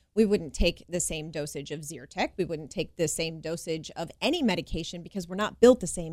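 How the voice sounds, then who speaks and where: On a very clean recording with a silent background, a woman with a normal speaking voice talks at a moderate pace and a fairly low pitch. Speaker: chiropractor. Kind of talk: radio interview.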